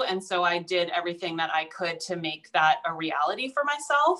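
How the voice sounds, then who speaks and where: Someone talks in a normal speaking voice with a Canadian accent at a moderate pace. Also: woman. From Southern Ontario. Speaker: lawyer and banker. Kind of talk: panel discussion. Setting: video call.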